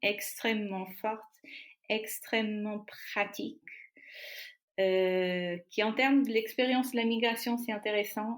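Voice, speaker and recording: A woman speaks with a Portuguese accent at a fairly high pitch and fairly even intonation. The recording is very clean, with a silent background. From Portugal. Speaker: artist and filmmaker. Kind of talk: interview answer.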